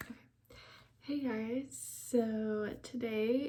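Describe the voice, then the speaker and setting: A woman with a dark, mellow tone and a somewhat breathy voice speaks at a very slow pace and a fairly high pitch. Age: 20s. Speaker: book vlogger. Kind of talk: casual vlog talk. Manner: casual with many fillers.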